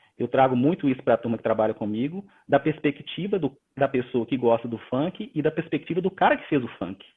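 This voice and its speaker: A man with a Minas Gerais accent talks at a fairly high pitch. His pace is fairly quick. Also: lively intonation. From Minas Gerais, Brazil. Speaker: corporate leader, innovation speaker. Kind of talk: live-stream interview. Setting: online live stream.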